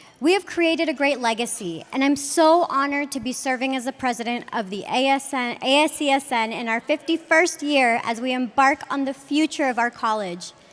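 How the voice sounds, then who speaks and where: Fairly quick delivery with ordinary pitch variation, hardly any pauses, and noticeable background noise. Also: woman, high pitch for a woman. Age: young. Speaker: student body president. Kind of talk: ceremonial speech. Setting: stage with audience.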